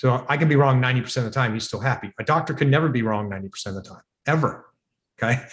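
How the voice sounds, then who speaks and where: Very fast, somewhat breathy speech from a man, medium in pitch with ordinary pitch variation and big swings in loudness. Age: 60s. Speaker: device developer and entrepreneur. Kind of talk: podcast interview. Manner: animated.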